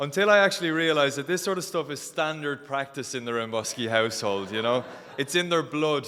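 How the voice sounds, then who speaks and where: A man talks at a moderate pace with a fairly high pitch. His tone is bright and sharp. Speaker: wedding guest giving a speech. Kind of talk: wedding speech. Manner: halting.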